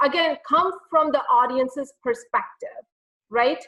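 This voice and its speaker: Her voice is raised and projected, and this woman's tone comes across bright and sharp. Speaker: public speaking coach. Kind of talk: webinar Q&A. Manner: fast; animated.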